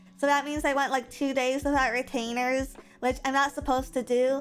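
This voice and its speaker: There is music in the background as a woman speaks in a high pitch. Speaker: vtuber streamer. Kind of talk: casual chat.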